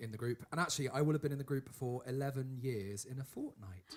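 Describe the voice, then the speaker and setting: A man's voice comes through somewhat breathy. His pitch varies in an ordinary way. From Bristol, England. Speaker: tenor singer in a vocal group. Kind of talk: casual introductions in a rehearsal.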